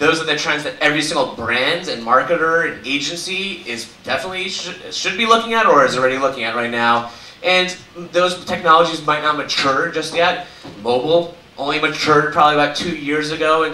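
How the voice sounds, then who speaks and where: A man with an American accent speaks fairly quickly at a fairly high pitch, with ordinary pitch variation. Noticeable background noise and audible room echo are present. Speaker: conference speaker, media company executive. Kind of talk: conference talk. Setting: stage with audience. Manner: fast.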